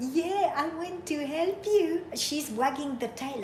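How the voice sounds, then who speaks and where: A woman with a non-native accent speaks in an animated tone with lively intonation. Noticeable background noise and audible room echo are present. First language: not English. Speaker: livestreamer watching wildlife. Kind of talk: casual live stream chat.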